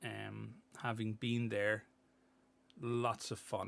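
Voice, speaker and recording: A man speaks with an Irish accent. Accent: Irish accent, remarked on by chat. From Ireland. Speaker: miniature painting streamer. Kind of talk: casual livestream chat, reading chat messages. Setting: livestream.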